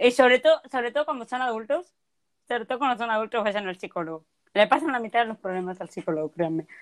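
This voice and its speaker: In a dry, close sound with no echo, a woman talks at a very fast pace and fairly high pitch with lively intonation. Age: 20s. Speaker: podcast co-host. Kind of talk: casual chat.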